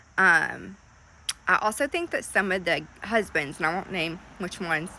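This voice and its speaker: A woman's bright, sharp voice at a medium pitch, with ordinary pitch variation and a moderate pace. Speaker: lifestyle commentator, swinger. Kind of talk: casual talk to camera.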